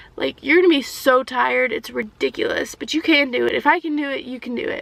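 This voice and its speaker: Over noticeable background noise, a woman talks at a very fast pace with big swings in loudness. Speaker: vlogger and early childhood educator. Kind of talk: casual Q&A vlog. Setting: backseat of a car. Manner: soft-spoken.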